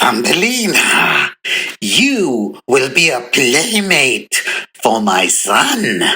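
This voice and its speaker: The speaker uses a put-on character voice that is raspy and croaky. The pace is very slow. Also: man, medium pitch for a man. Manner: commanding.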